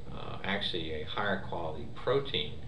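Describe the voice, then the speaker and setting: Noticeable background noise sits under a man who speaks at a moderate pace. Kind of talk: interview answer. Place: office.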